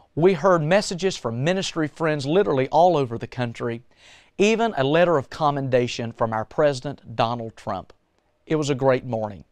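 A man with lively intonation at a fairly quick pace, in a dry sound with no echo and a quiet background. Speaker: church music minister. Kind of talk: broadcast introduction. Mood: warm, upbeat. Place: studio.

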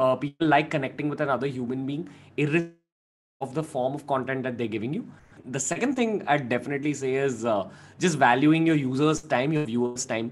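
Light background noise sits under a man talking at a very fast pace with ordinary pitch variation. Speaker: guest. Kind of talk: interview answer. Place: home room. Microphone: studio mic.

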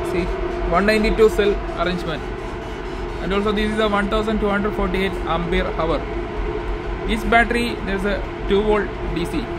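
Music plays in the background as a man speaks at a fairly quick pace. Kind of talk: tutorial walkthrough. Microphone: phone near.

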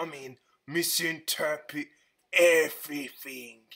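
A man performs a cartoonish character voice. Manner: goofy, rambling.

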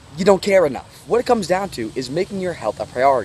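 Very fast speech with very wide pitch swings comes through a dry sound with no echo and light background noise. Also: man. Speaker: diet vlogger. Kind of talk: advice vlog talk. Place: forest. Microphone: phone near.

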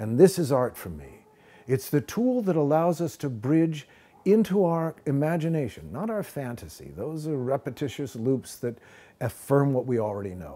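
This man has a dark, mellow tone and speaks at a moderate pace. His pitch swings very widely and his loudness swings a lot. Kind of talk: interview answer. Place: studio.

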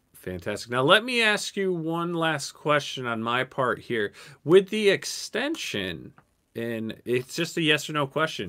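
A man's bright, sharp voice, fairly high in pitch, with very wide pitch swings at a fairly slow pace. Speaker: live show host. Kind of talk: casual chat. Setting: video call. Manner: animated.

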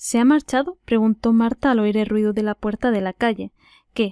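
A woman's fairly high voice with a dark, mellow tone, dry and close with no echo, in a very clean recording over a silent background. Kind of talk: audiobook reading.

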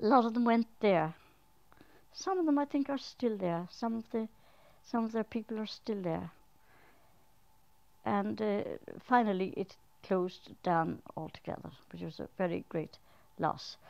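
With an Irish accent, a woman talks at a fairly slow pace in a fairly high pitch, her lively intonation broken by long, frequent pauses. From Arklow, Ireland. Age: 70s. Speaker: elderly local resident. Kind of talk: interview answer. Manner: hesitant, reminiscing. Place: home room.

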